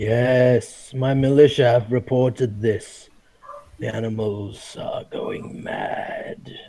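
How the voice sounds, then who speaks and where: A man puts on a raspy character voice at a medium pitch, speaking at a very slow pace. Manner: booming.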